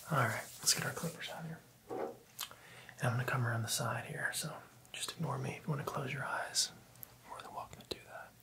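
A man whispers at a very fast pace. His loudness swings widely from moment to moment. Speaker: barber roleplay host. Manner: soft, hushed ASMR speech. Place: studio.

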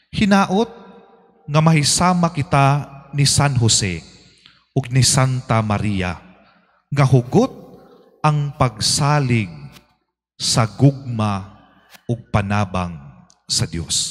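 Against a quiet background, a man of medium pitch speaks very slowly and somewhat breathily, with very wide pitch swings and long, frequent pauses. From Philippines. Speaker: priest. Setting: church. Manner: formal; earnest, steady preaching with rhetorical questions. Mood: earnest, devotional. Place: church. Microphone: handheld.

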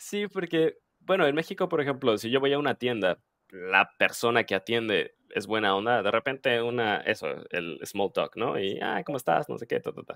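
A man talks at a moderate pace with very wide pitch swings. The background is quiet, and the sound is dry with no echo. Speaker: podcast host and Spanish teacher; podcast host, Spanish teacher. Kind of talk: interview. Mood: friendly, curious. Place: home room. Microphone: headset.

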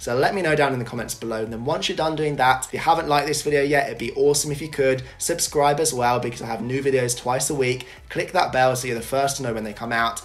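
At a very fast pace, a man talks with hardly any pauses. His pitch sits at a medium level. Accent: British. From Britain. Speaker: YouTuber. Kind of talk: scripted to-camera presentation. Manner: animated. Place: home room.

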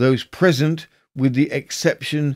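A plain, everyday voice at a fairly slow pace, with ordinary pitch variation and a dry, close sound with no echo, in a very clean recording with a silent background. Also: man. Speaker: podcast host. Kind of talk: scripted true-crime historical narration, reading newspaper excerpts. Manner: measured, formal, storytelling delivery.

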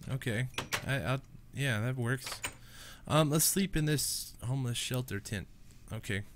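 Speaking at a fairly slow pace, a man has a nasal voice at medium pitch with ordinary pitch variation.

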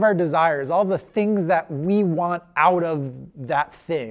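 A man talks very slowly, the background quiet. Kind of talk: lecture. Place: classroom.

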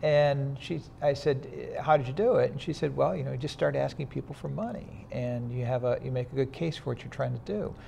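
A man's somewhat breathy voice at a fairly quick pace, over light background noise. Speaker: interview guest. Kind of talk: interview answer. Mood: relaxed, occasional laughs. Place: studio. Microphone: lapel.

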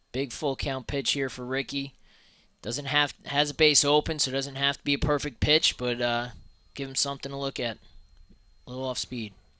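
The speech comes at a moderate pace with long, frequent pauses, sounding dry with no echo against a quiet background. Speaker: color commentator. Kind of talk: color commentary, analysis between pitches. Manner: conversational, laid-back analyst, a bit halting with filler words and repeats. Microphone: headset.

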